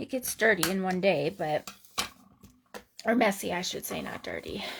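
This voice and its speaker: A woman in a normal speaking voice, at medium pitch and a moderate pace. Her loudness swings widely while her pitch varies in an ordinary way. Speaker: craft demonstrator. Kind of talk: live craft tutorial. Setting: home craft room livestream. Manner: casual, chatty.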